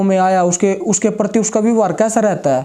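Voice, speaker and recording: A man speaks at a moderate pace in a high pitch, with noticeable background noise. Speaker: interviewer, channel host. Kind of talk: interview question.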